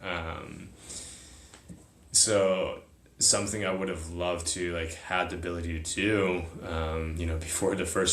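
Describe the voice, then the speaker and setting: A very deep, low-pitched, somewhat breathy male voice with audible room echo. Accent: American. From US, partly raised in China as a small child. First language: Chinese. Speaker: military academy graduate, psychedelic retreat participant. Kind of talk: casual interview chat.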